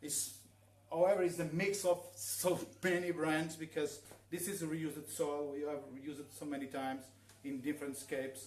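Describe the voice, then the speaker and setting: A man with a Portuguese accent at a moderate pace, with ordinary pitch variation. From northern Portugal. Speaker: aquascaper giving a workshop. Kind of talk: live demonstration workshop. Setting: live stream in showroom. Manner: halting, many fillers. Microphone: too quiet.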